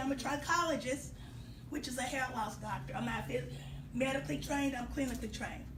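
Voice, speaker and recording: Amid noticeable background noise and audible room echo, a woman talks very fast in an animated tone. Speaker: hair care business owner. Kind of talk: casual talk.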